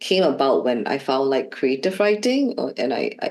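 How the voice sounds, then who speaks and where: This woman has a Shanghai accent. She talks at a fairly slow pace. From Shanghai, China. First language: Shanghainese. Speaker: learning designer, former art teacher. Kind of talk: interview. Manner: hesitant, many fillers.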